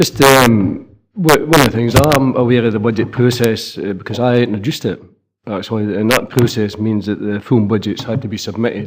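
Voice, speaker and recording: A man with a Scottish accent speaks at medium pitch and a fairly quick pace. His pitch variation is ordinary, and audible room echo surrounds him. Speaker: local councillor. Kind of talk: council meeting debate.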